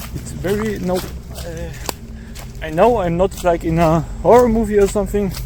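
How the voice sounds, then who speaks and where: There are long, frequent pauses as a man speaks, with big swings in loudness. Noticeable background noise and audible room echo fill the recording. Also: moderate pace. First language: German. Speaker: amateur video uploader. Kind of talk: casual chat. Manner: halting.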